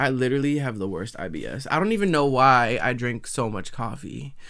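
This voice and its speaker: A man with an American accent is shouting at medium pitch and a moderate pace. Noticeable background noise is present. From Massachusetts, US. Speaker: podcast host, actor. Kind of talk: casual reaction commentary.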